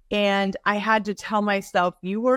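A woman with an American accent talks at a fairly slow pace in a normal speaking voice, at medium pitch with ordinary pitch variation. The recording is very clean with a silent background and a dry, close sound with no echo. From Northern California. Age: 50s. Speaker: author and fitness coach. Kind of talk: casual interview.

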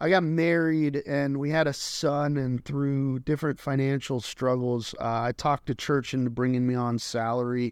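A normal speaking voice from a man with an American accent, fairly high in pitch, at a moderate pace with fairly even intonation, hardly any pauses, and a quiet background. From Colorado. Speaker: pastor. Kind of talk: casual chat.

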